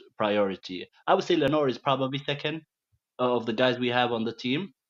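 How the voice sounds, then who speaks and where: With a Middle Eastern accent, a man speaks at medium pitch with ordinary pitch variation. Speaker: caller. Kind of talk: call-in chat. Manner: halting.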